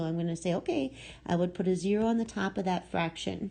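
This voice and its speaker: Over a quiet background, a woman speaks at a medium pitch with lively intonation. Her voice is somewhat breathy. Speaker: math teacher. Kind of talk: lecture. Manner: slow.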